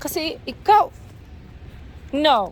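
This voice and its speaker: Pitched high, a woman's voice makes very wide pitch swings. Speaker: vlogger. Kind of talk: vlog walk narration. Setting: outdoors.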